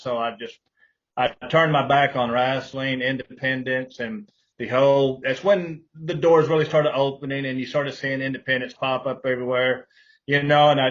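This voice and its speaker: This voice carries a Texan accent and fairly even intonation. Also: man. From Texas, Fort Worth. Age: 60s. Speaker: pro wrestler and wrestling promoter. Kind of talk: interview.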